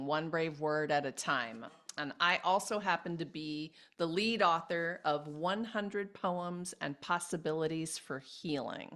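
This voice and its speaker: Enthusiastic in tone, a woman speaks at a fairly slow pace and a fairly low pitch with ordinary pitch variation. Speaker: podcast host. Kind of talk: interview host talk.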